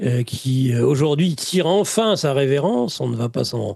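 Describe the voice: A man's medium-pitched voice with lively intonation, vocal fry, a slightly husky edge and a slightly mellow tone, at a moderate pace.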